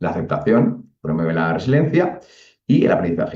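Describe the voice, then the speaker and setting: A man with a Castilian accent, a dark, mellow tone and very wide pitch swings. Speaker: psychologist speaker. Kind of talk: lecture. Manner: fast.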